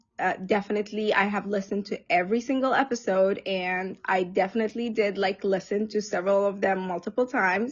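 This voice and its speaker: A woman with an Arabic accent speaks at a medium pitch with fairly even intonation. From Egypt. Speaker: social service provider. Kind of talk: casual chat. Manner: halting, many fillers.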